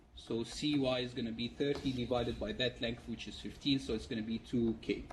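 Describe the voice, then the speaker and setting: A man speaks at a medium pitch with fairly even intonation, and audible room echo surrounds his voice. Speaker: university lecturer. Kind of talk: lecture. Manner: fast.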